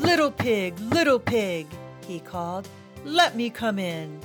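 A put-on character voice growls at a middle pitch and a fairly slow pace. Clear music plays in the background. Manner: growly.

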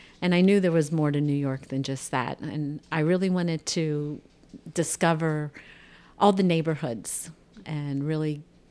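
On a very clean recording with a silent background, a woman speaks at a fairly slow pace in a very deep, low pitch, with a dark, mellow tone and fairly even intonation. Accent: American. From Ohio, US. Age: 60s. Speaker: retiree guest. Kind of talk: casual interview chat.

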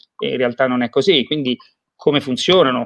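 Here a man talks at a fairly quick pace with ordinary pitch variation. The sound is dry and close, with no echo. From Romagna, Italy. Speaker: IT company founder and sales director. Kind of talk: promotional interview. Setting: livestream.

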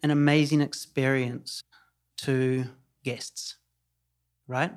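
At a very slow pace, a man with a New Zealand accent talks in a fairly high voice. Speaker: hotel company CEO. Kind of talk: interview conversation. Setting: on location in Tulum. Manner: hesitant, many fillers and repeats.

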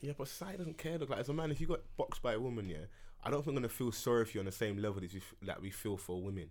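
Here a man talks at a very fast pace and a medium pitch. His pitch swings very widely. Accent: London. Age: 20s. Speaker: podcast host. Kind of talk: casual chat. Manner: animated.

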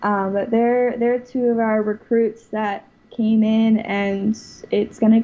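A woman with an American accent speaks in a fairly high, somewhat breathy voice with monotone, flat intonation. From US South, Florida (West Palm Beach). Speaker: college water ski team president. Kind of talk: interview.

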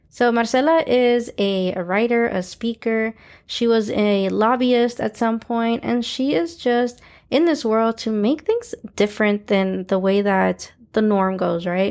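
The recording is very clean, with a silent background. A woman speaks at a fairly slow pace and fairly high pitch with ordinary pitch variation. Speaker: podcast host and coach. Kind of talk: casual interview. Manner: animated, enthusiastic.

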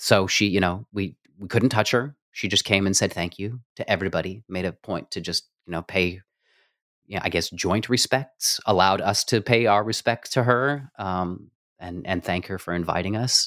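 In a plain, everyday voice with an American accent, the speaker goes at a moderate pace, in a dry, close sound with no echo and a very clean recording with a silent background. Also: man, fairly low pitch for a man, ordinary pitch variation. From New Mexico, US. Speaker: music producer and stage actor. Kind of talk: interview conversation.

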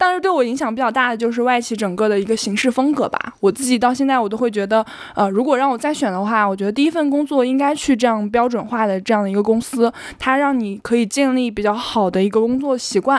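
A woman's fairly high voice at a very fast pace, with ordinary pitch variation and hardly any pauses. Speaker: internet operations manager. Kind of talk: interview. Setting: home recording.

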